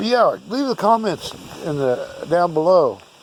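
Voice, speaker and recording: Very slowly and with very wide pitch swings, a man with an American accent speaks over noticeable background noise. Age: 60s. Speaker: artifact collector. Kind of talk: casual video monologue. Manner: casual, halting with fillers.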